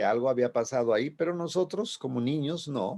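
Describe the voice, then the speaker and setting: Against a quiet background, a man talks at a moderate pace in a fairly high pitch with ordinary pitch variation. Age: 60s. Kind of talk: radio sermon. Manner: halting, with repetitions.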